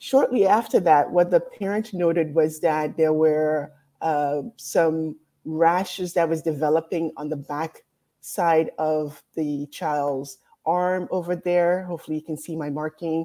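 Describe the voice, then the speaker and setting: Over a quiet background, a woman with a dark, mellow tone speaks at a fairly slow pace, with a fairly low pitch and ordinary pitch variation. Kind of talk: lecture. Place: home room. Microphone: webcam.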